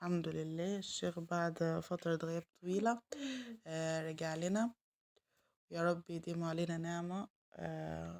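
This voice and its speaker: With an Egyptian accent, a woman speaks very slowly at a fairly low pitch in a monotone, flat intonation, recorded with a dry, close sound and no echo. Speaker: home vlogger, mother. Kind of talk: casual vlog narration. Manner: halting, many fillers.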